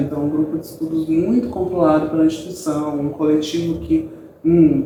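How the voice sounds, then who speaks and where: At a moderate pace, a man with a fairly high pitch talks amid audible room echo. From Brazil, São Paulo East Zone. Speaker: graduate student and researcher. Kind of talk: interview. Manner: hesitant fillers.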